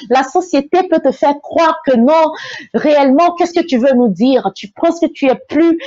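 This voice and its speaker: A woman's high pitch with ordinary pitch variation at a fairly slow pace. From Togo. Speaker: motivational speaker. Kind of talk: motivational talk. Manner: halting.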